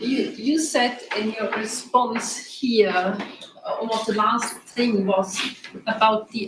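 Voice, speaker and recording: A fairly high-pitched woman talks at a very slow pace with fairly even intonation. Room echo is audible. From Germany. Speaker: audience member. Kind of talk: audience question. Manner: halting.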